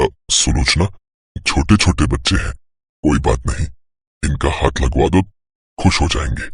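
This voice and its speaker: A man does a cartoonish character voice with a very deep, low pitch, lively intonation and long, frequent pauses. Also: moderate pace. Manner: earnest, hesitant.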